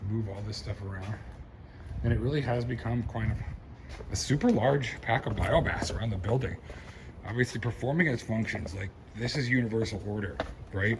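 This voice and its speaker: Quiet and animated, a man speaks at a fairly low pitch and fairly quick pace. There is noticeable background noise and audible room echo. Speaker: reverend sharing his garden. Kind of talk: casual vlog walkthrough. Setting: outdoors, around his building. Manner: quiet, talking low; casual, animated.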